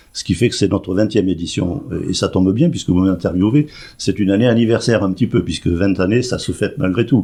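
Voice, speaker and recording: A man speaks at a very fast pace with fairly low pitch. His tone is dark and mellow, with ordinary pitch variation. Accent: slight southwestern French. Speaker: president of a seniors' club. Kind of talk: radio interview.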